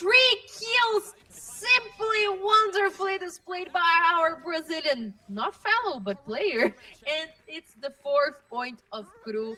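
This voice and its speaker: A woman's raised, projected voice, extremely high and very slow, with very wide pitch swings, big swings in loudness and noticeable background noise. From Brazil. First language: Portuguese. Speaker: esports caster. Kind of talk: live commentary.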